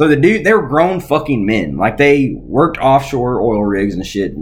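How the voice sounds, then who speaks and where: Speaking at a fairly slow pace, a man's voice carries vocal fry. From Arkansas. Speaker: podcast co-host. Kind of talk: casual chat.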